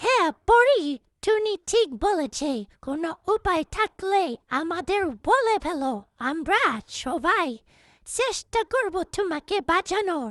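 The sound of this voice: Using a cartoonish character voice, a woman speaks very slowly at an extremely high pitch with very wide pitch swings.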